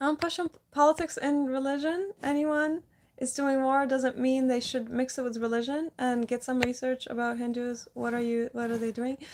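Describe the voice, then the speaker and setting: A high-pitched woman with a non-native accent, moderate pace, fairly even intonation and hardly any pauses. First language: not English. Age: 30s. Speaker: live streamer. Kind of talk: casual chat. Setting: livestream.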